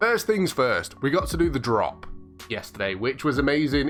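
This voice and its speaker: Music plays in the background as a man speaks in a fairly high voice. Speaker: gaming YouTuber. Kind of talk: casual vlog commentary.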